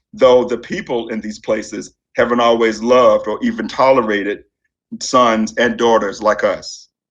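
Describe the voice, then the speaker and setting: This man speaks with a Southern accent. His pace is moderate. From Virginia Tidewater, Norfolk. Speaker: literature professor. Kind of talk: memorial speech. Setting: memorial service.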